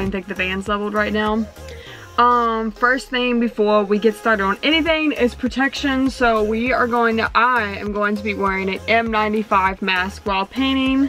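With faint music in the background, the speaker talks at a moderate pace with fairly even intonation. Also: woman. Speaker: van renovation vlogger. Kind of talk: casual vlog chat. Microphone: phone near.

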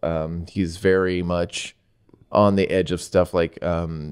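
A man's very deep, low voice, very slow and monotone with flat intonation, over a quiet background. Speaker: podcast host. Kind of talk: casual podcast chat. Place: studio. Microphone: studio mic.

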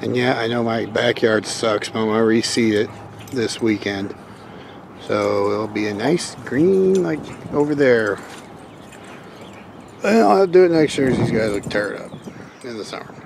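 Noticeable background noise sits under a man speaking at a moderate pace with long, frequent pauses, in a dry sound with no echo. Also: ordinary pitch variation. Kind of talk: casual vlog chat. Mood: affectionate, relaxed. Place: garden. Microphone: phone near.

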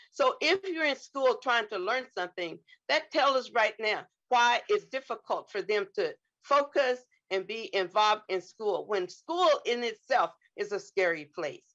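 High-pitched and swinging very widely, a woman's voice moves at a fairly slow pace over a quiet background. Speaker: clinical psychologist. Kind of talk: testimony. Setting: video call. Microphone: video call.

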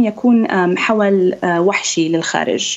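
A woman's voice shows ordinary pitch variation while moving at a very slow pace. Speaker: ophthalmologist; guest. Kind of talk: interview, medical explanation. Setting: video call. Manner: hesitant, with filler sounds. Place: home room. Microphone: Skype connection; video call.

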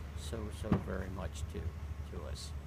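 A man with an American accent speaks over loud background noise. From Maryland, USA. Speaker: marathon runner. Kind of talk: interview answer. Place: garden. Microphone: phone near.

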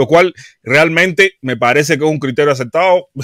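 Against a quiet background, a man's bright, sharp voice sounds dry with no echo as he talks at a moderate pace with ordinary pitch variation. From Cuba. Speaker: YouTube live commentator. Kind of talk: live stream commentary. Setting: live stream. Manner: halting, frequent repetitions. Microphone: studio mic.

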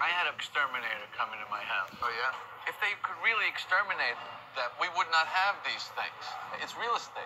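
Against noticeable background noise, a man with a high pitch speaks at a fairly quick pace. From Arlington Heights, Illinois, USA. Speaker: stand-up comedian. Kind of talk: casual conversation, comedic storytelling. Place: cafe.

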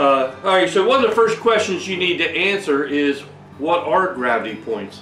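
A man at a moderate pace, with audible room echo and faint background music. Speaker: home brewing channel host. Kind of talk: tutorial. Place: workshop.

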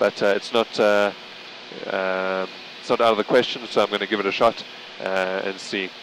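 Noticeable background noise accompanies a man with a fairly low pitch who talks at a fairly quick pace in a monotone, flat way, the sound dry with no echo. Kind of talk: commentary while flying. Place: plane. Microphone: headset.

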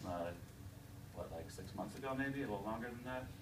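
Noticeable background noise sits behind a man whose pitch varies in an ordinary way. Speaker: digital studio principal and developer. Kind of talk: live software demo at a conference. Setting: stage with audience. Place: meeting room. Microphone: podium.

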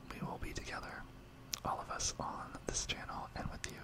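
A man is whispering. His tone is gentle. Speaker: ASMR creator. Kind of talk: soft-spoken ASMR talk to viewers. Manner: soft, gentle, close-mic ASMR voice. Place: home room. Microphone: studio mic.

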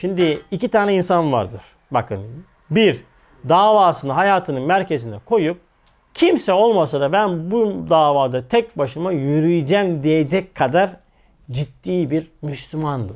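Over a quiet background, a man speaks at a fairly slow pace and a fairly high pitch. His tone is animated, and his intonation is lively. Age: 40s. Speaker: religious teacher. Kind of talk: religious lecture. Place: studio. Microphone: lapel.

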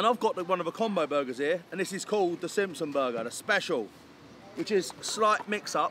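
The speech moves at a fairly quick pace, dry with no echo and with light background noise. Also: man. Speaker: food reviewer. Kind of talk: casual vlog chat. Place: street.

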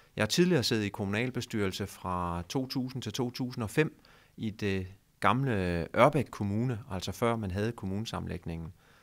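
This man talks at a fairly slow pace and fairly low pitch. His pitch varies in an ordinary way against a quiet background. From Denmark, Funen (Nyborg); Denmark. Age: 40s. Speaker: mayor; local politician. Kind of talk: interview. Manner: halting. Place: office. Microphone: handheld.

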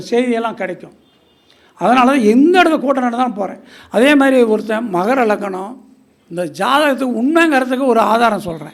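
A man's extremely high-pitched voice with audible room echo. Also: lively intonation. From Tamil Nadu, Erode area. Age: 70s. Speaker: astrologer. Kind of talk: speech at astrology gathering. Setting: stage with audience.

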